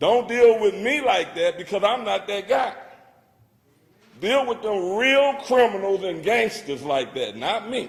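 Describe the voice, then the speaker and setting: A man speaks loudly at a fairly slow pace. His pitch is high and his intonation lively. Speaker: public commenter at council meeting. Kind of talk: public comment speech. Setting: city council chamber.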